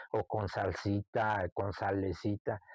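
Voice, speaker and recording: Against a quiet background, a man with a fairly low pitch speaks in a central Mexican accent. The sound is dry and close, with no echo. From Mexico, Santa Catarina del Monte, Texcoco. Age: 60s. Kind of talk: oral history interview. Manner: reminiscing, conversational.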